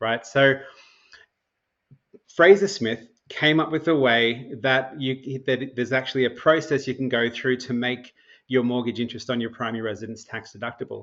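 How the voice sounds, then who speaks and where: At a moderate pace, a man talks at medium pitch with an Australian accent. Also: ordinary pitch variation. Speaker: mortgage broker and financial strategy educator. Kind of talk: podcast interview. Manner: conversational, with frequent self-repetitions.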